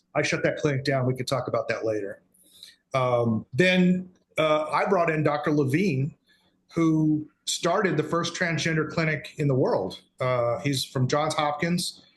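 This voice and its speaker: With an American accent, the speaker uses a normal speaking voice at a fairly slow pace with ordinary pitch variation. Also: man, fairly high pitch for a man. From Texas. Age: 60s. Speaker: guest, father in custody dispute. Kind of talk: interview testimony.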